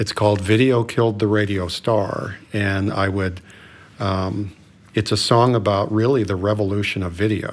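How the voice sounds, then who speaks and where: Monotone, flat intonation at a moderate pace. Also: man, fairly low pitch for a man. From Colorado. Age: 60s. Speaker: doctor. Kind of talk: casual chat.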